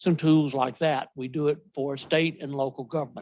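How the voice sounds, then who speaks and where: A man speaks in a Southern US accent. The recording is very clean, with a silent background. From US South. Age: old. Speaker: software company representative. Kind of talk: conference presentation. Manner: loud.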